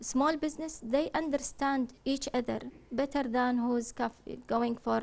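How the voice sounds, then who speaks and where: This woman speaks in a Kuwaiti accent at a high pitch. Her pace is fairly slow and her intonation fairly even. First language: Arabic. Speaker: business consultant. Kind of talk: TV interview. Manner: halting.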